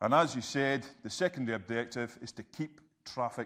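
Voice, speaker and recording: A man with a Scottish accent and ordinary pitch variation, on a very clean recording against a silent background. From Scotland. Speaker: health and safety trainer. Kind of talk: interactive presentation. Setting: presentation room with audience. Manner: fast when excited.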